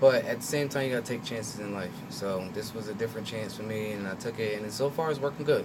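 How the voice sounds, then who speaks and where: At a very fast pace with hardly any pauses, a man talks in an American accent. His pitch is medium with ordinary variation, and background noise is noticeable. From Trenton, New Jersey. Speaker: actor and visual artist. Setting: radio studio. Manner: reserved.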